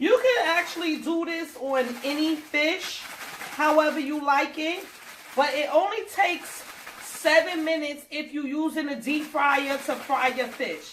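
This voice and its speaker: The speech moves at a fairly slow pace with ordinary pitch variation. Noticeable background noise and audible room echo come through. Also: woman, high pitch for a woman. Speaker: home cook. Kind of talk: tutorial.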